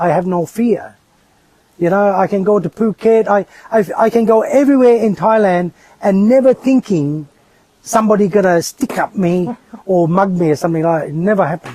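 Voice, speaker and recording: The recording sounds dry and close with no echo as a man with a high voice speaks at a fairly quick pace, with ordinary pitch variation. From northern England. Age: 60s. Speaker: expat landlord interviewee. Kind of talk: casual interview. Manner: hesitant with repetitions.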